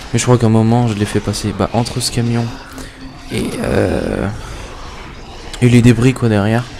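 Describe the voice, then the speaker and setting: A man's medium-pitched voice comes through with noticeable background noise behind it. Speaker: gaming YouTuber. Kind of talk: gameplay commentary. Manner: fast; casual, hesitant.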